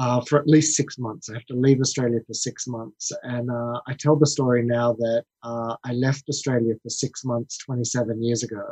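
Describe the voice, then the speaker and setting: In a dry, close recording with no echo, a man speaks at a moderate pace with hardly any pauses, his medium-pitched, somewhat breathy voice dark and mellow, monotone and flat in intonation, and swinging widely in loudness. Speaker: marketing executive and investor. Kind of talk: casual interview chat.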